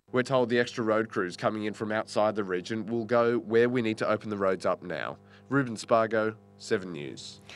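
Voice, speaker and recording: The man's pitch is fairly low, with ordinary variation. He speaks at a moderate pace over a quiet background. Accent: Australian. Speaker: TV news reporter. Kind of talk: news report.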